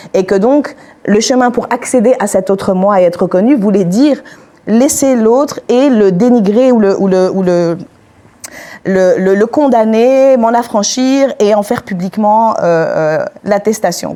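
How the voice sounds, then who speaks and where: A woman talks at a fairly slow pace in a fairly high pitch with ordinary pitch variation. Her loudness stays very even. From Algeria, Algiers, then Switzerland from age 11. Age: 30s. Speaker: panel speaker. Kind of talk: testimony. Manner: halting, many hesitations.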